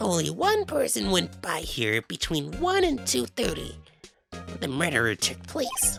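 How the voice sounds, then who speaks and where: A man at medium pitch speaks in a put-on character voice at a fairly slow pace. Faint music plays in the background. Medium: game stream. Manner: bossy, officious.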